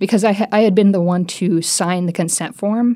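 This woman has a plain, everyday voice, speaking at a fairly quick pace with fairly even intonation. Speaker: medical student and patient. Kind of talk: personal testimony.

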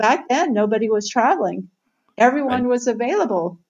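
A woman with an American accent speaks at a high pitch. Her delivery is fairly quick, with lively intonation. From Southern Ohio, US Midwest. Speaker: author and tech journalist. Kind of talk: interview.

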